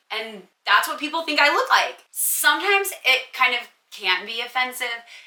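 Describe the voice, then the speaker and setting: A woman's raised, projected voice, high-pitched, bright and sharp, animated in tone, with lively intonation at a moderate pace. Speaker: content creator, lookalike. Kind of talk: Q&A monologue to camera. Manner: casual, animated.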